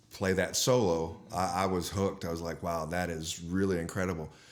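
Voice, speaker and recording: There is audible room echo around a man with an American accent. His very deep, low voice stays in a monotone, flat intonation. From Texas, Dallas. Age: 60s. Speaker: guitarist and guitar teacher. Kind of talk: podcast interview.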